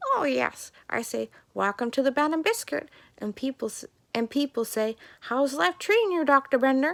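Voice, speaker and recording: Using a put-on character voice, a woman speaks high-pitched at a moderate pace. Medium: read story. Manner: bossy, chatty.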